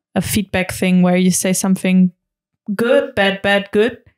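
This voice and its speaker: A woman's medium-pitched voice in monotone, flat intonation, dry and close with no echo. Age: 20s. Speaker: learning and development specialist. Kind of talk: podcast interview. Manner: halting.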